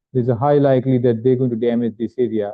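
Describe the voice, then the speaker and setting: With an Indian accent, a man speaks at a medium pitch. His intonation is fairly even. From India (Gujarat). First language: not English. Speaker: visiting neuroradiology professor. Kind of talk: lecture. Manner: halting, with fillers.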